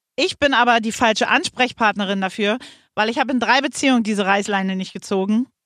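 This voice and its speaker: At a very fast pace, a woman with fairly high pitch and ordinary pitch variation speaks in a dry, close sound with no echo. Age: 50s. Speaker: radio host's mother, dating advice. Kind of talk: casual chat.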